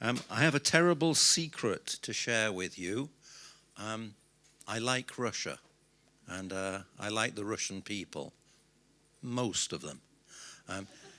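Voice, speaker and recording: Fairly slowly, a man with a British accent speaks in a bright, sharp tone with lively intonation. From Britain. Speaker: business consultant. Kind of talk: conference speech.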